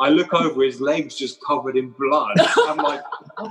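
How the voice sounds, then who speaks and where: A man with a plain, everyday voice talks at a moderate pace and fairly high pitch, his pitch varying in an ordinary way. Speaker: musician. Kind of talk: casual interview.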